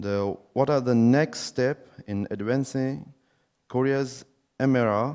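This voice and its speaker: A man's dark, mellow voice with ordinary pitch variation, on a very clean recording over a silent background. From Uzbekistan. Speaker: forum participant asking questions. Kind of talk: question and answer session. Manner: halting, many fillers.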